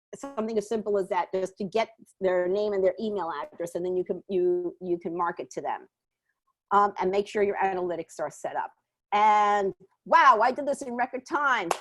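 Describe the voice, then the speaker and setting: A woman with a New York accent and a medium pitch. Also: ordinary pitch variation, dry, close sound with no echo. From New York, Puerto Rican family. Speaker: small business marketing advisor. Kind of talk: webinar presentation and Q&A. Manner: fast.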